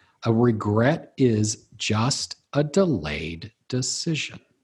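A man of medium pitch, somewhat breathy, speaks with very wide pitch swings. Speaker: speaker, author and life coach. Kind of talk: casual interview. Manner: halting, many fillers and restarts.

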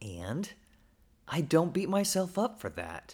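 On a very clean recording with a silent background, a man with an American accent speaks fairly slowly with vocal fry and very wide pitch swings. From Oklahoma, US. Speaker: pastor. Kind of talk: personal reflection monologue. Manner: casual, conversational.

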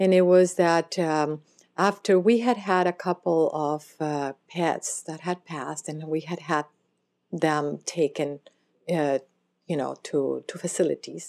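A woman's plain, everyday voice, fairly low in pitch, with fairly even intonation and a fairly slow pace. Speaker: pet cremation business owner, former legal interpreter. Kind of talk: interview, conversational.

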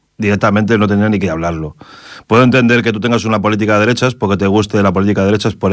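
Rattling along at a very fast pace, a man holds a fairly low pitch and fairly even intonation. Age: 40s. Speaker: radio host. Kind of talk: casual radio commentary.

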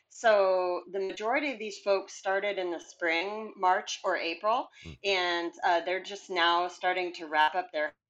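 Speaking at a moderate pace with hardly any pauses, a woman with a plain, everyday voice uses a medium pitch and ordinary pitch variation. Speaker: hiking author. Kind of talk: casual interview.

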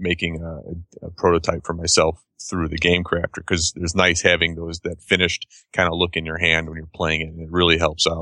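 Against a quiet background, a man with a very deep, low pitch and a bright, sharp tone talks fairly quickly in a flat monotone, the sound dry and close with no echo. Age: 30s. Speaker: board game designer. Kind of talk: interview. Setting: video call.

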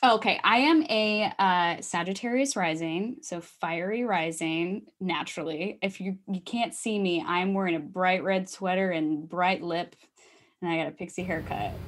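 A woman has a normal speaking voice at a medium pitch, with ordinary pitch variation and a moderate pace. The recording is very clean, with a silent background. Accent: American. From US Midwest, Iowa. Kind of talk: casual chat.

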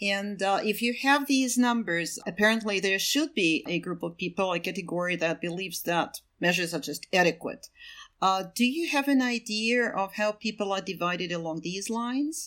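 A woman's medium-pitched voice with lively intonation, a moderate pace and a Russian accent. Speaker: podcast host, research program associate. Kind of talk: interview.

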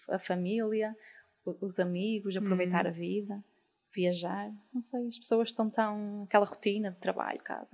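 A woman talks with a medium pitch and fairly even intonation. It is a normal speaking voice. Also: moderate pace. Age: 20s. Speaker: artist and designer. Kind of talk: casual interview. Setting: live recording with audience.

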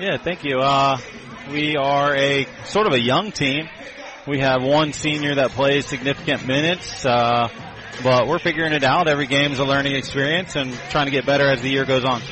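Noticeable background noise sits behind a voice of very even loudness, fairly even intonation and moderate pace. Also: man, fairly high pitch for a man. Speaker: high school basketball head coach. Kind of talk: casual pregame interview.

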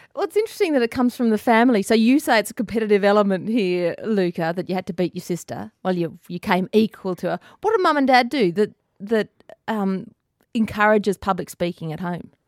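Speaking very fast with an Australian accent, a woman at medium pitch shows ordinary pitch variation in a dry, close sound with no echo. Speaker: radio presenter. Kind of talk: radio interview. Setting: radio studio.

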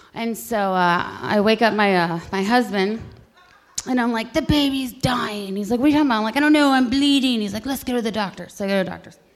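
A woman with an American accent, fairly high pitch, ordinary pitch variation and a very fast pace, over noticeable background noise. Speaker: storyteller. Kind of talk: live storytelling. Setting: stage with audience. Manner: halting, many fillers.

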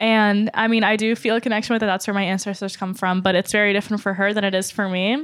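A woman with a normal speaking voice talks at medium pitch with ordinary pitch variation. The recording is very clean, the background silent. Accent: American. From US South. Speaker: pop-culture writer and comics fan. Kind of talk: casual panel discussion. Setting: in-person recording in New York City.

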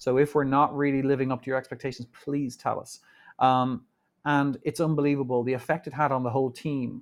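A man with an Irish accent talks at a fairly quick pace in a medium pitch. His intonation stays monotone and flat, and the background is quiet. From Ireland. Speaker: bullion company executive. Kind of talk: interview conversation. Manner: halting, many fillers.

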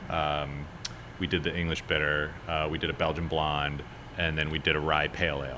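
Audible room echo surrounds the voice. A man speaks with an American accent. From Chicago. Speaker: brewer and brewery owner. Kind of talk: casual chat. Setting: brewery taproom.

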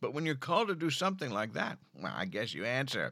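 This man speaks in an American accent, with vocal fry and a bright, sharp tone. His delivery is animated and theatrical, on a very clean recording with a silent background. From Philadelphia area. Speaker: podcast host. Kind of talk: scripted comedic intro then casual interview. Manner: animated, theatrical.

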